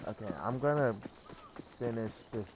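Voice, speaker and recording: Mumbled speech at a moderate pace with music in the background. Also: man. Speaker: gaming streamer. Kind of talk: live game commentary. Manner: mumbling.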